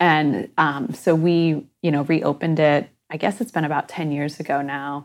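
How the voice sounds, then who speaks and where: With a Midwestern American accent, a woman speaks at a moderate pace in a very deep, low pitch with ordinary pitch variation, in a very clean recording with a silent background. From Michigan. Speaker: museum organization CEO. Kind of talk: interview.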